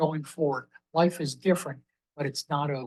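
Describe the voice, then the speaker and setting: A man's fairly high voice carries fairly even intonation. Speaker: trauma survivor, amputee. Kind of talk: panel discussion. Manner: loud.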